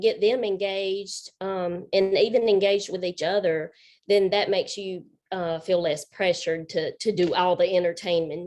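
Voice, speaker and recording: A woman with a Southern accent, medium in pitch, at a moderate pace with fairly even intonation. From South Carolina. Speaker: paint party instructor. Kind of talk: group video chat.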